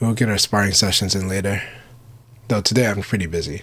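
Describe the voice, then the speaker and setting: A raspy, put-on character voice. It rushes along at a very fast pace. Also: man, fairly low pitch for a man. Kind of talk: R and B radio style. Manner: relaxed, casual.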